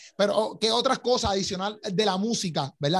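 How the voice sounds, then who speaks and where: A man's voice over noticeable background noise. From Puerto Rico. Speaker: podcast host. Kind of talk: casual interview. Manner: animated.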